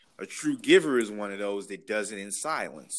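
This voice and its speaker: A man with an American accent has an ordinary speaking voice and lively intonation. He talks at a moderate pace. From Chicago, Illinois. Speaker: political staffer. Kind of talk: casual chat.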